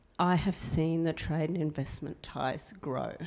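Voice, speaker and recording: Her pitch is very deep and low, and her tone is dark and mellow. The woman speaks at a fairly slow pace with an Australian accent. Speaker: former diplomat. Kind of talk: panel introduction.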